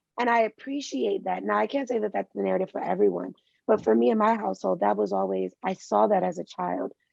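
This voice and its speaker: Speech comes at a moderate pace with a dry, close sound and no echo. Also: woman. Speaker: doctoral student and former teacher. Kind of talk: interview. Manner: intense; animated.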